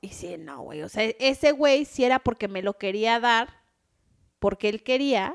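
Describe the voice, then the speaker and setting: A woman with a plain, everyday voice speaks at a fairly high pitch and a fairly slow pace. Her intonation is lively, and her loudness swings widely. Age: 30s. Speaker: podcast co-host, nail salon owner. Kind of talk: casual chat.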